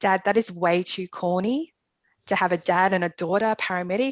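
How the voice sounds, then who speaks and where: A woman speaks at a medium pitch with fairly even intonation, the sound dry and close with no echo. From Australia, Melbourne. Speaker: emergency nurse. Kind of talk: casual interview.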